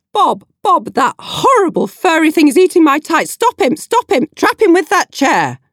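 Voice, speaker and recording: A put-on character voice, shrill and extremely high-pitched, comes through. It moves at a moderate pace with hardly any pauses. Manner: screeching, frantic.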